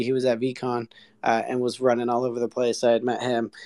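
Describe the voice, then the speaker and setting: The man here has an unremarkable speaking voice, medium in pitch and moderate in pace. The recording is very clean, dry and close, with no echo and a silent background. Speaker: audience member. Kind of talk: casual chat.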